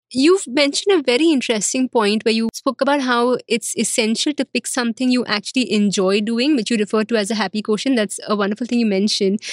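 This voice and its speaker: A woman speaks at a very fast pace with hardly any pauses, her fairly high voice showing ordinary pitch variation. Her loudness stays very even, and the sound is dry and close with no echo. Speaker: podcast host. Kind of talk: interview.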